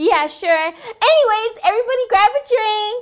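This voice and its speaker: A woman does a squeaky, put-on character voice at an extremely high pitch. Her tone is cheerful and her pace moderate. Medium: solo performance. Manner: cheerful, effusive.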